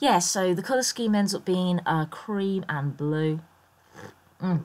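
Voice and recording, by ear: A croaky woman talks at a fairly low pitch and a fairly slow pace, with lively intonation. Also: slightly mellow tone.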